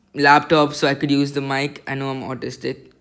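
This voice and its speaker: A loud man speaks at a moderate pace in a bright, sharp tone. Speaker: amateur astronomer, first-time video reviewer. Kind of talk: product review video. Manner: halting, many fillers; loud, excited.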